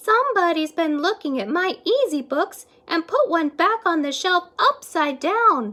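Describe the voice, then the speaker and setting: In a squeaky put-on character voice, a woman talks at an extremely high pitch and a moderate pace with hardly any pauses. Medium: read story. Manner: fussy.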